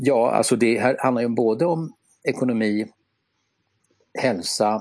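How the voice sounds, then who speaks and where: At a fairly slow pace, a man speaks with a medium pitch. His pitch varies in an ordinary way. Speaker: podcast co-host. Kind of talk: casual chat. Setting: remote online recording. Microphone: simple earphones headset instead of studio mic.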